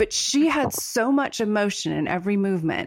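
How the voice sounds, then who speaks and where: A woman with an unremarkable speaking voice, medium in pitch, talks at a moderate pace with lively intonation on a very clean recording with a silent background. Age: 40s. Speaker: podcast host and writer. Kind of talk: casual chat.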